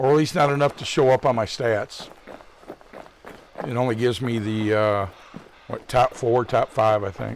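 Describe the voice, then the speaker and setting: A man with a US Midwestern accent talks at a moderate pace and medium pitch, with ordinary pitch variation, long, frequent pauses and noticeable background noise. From Michigan, US Midwest. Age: 60s. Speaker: gaming streamer. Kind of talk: live gameplay commentary. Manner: casual, rambling chat.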